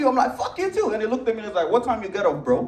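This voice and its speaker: Over noticeable background noise and audible room echo, a man with a Nigerian accent speaks in an animated tone at an extremely high pitch for a man. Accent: African (Nigerian). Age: young. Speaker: comedian. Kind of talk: stand-up. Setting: stage with audience.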